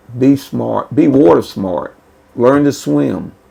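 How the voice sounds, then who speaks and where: The speaker has a Southern US accent. The pace is very slow. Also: man. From North Carolina. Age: 70s. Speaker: retired lifeguard. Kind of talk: interview.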